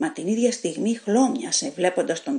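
The speaker reads in a natural reading voice. That voice carries from start to finish.

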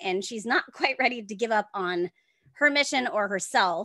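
Against a quiet background, a woman's bright, sharp voice moves with lively intonation, and the sound is dry with no echo. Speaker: author. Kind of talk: podcast interview answer. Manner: fast. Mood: upbeat, enthusiastic. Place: home room. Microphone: earbuds.

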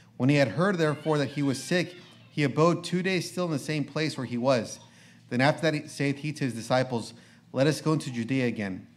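Music plays in the background as a man speaks at a fairly quick pace. His pitch is fairly high, with ordinary variation. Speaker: preacher. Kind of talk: reading aloud. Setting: church. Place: church.

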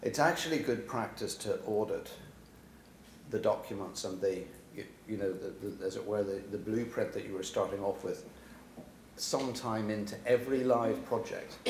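There is audible room echo and light background noise as this man talks. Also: moderate pace. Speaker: speaker. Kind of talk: panel discussion answer. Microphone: podium.

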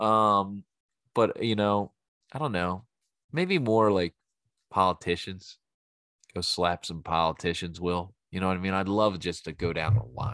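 A man with a Philadelphia accent speaks at a fairly slow pace with a very deep, low pitch, ordinary pitch variation and long, frequent pauses, in a dry sound with no echo over a quiet background. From Philadelphia, US. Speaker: podcast host and bartender; podcast host. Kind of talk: casual solo monologue; casual podcast monologue. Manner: animated, rambling with fillers. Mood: relaxed, joking, opinionated; subdued in the tribute. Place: home room. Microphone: studio mic.

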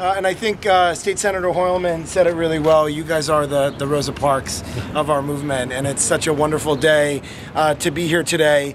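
A man speaks fairly quickly with an American accent and a fairly high pitch. His intonation is fairly even, and there is noticeable background noise. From Massachusetts. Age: 30s. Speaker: city politician. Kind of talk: public speech. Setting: outdoor event with audience. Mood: warm, celebratory. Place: street. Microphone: phone near.

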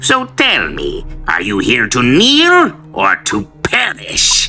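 A man puts on a character voice and speaks at a very slow pace. Music plays clearly in the background. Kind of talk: villain monologue.

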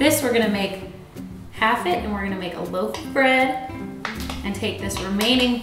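A woman talks at a moderate pace with ordinary pitch variation. Audible room echo surrounds her voice, and clear music plays in the background. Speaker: presenter. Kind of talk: tutorial. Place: kitchen.

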